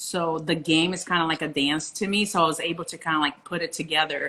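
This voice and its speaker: Fairly quick speech from a woman with a fairly low pitch and a Portuguese accent. Noticeable background noise sits behind her. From Brazil, Rio. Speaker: professional beach volleyball player. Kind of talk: interview.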